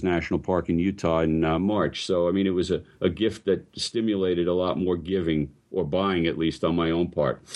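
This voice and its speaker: Very deep and low in pitch, a man speaks with a New York accent. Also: quiet background. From New York, Brooklyn. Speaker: photographer. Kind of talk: casual chat.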